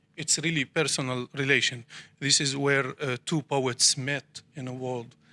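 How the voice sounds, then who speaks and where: A man speaks at a fairly slow pace in a bright, sharp tone. The sound is dry and close, with no echo. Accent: Arabic. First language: Arabic. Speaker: poet. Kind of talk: panel discussion. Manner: halting.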